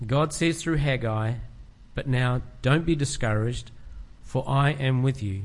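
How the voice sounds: The voice heard is a natural reading voice.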